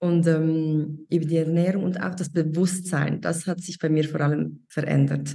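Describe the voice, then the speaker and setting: In a Swiss accent, a woman with a very deep, low pitch speaks at a moderate pace with hardly any pauses. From Switzerland. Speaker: mentoring participant, online shop owner. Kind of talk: interview. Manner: halting.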